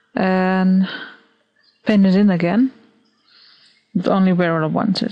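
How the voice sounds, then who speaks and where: A woman with a non-native accent and a dark, mellow tone, fairly even intonation, at a fairly slow pace. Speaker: digital artist. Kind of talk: software tutorial narration. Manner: hesitant, casual.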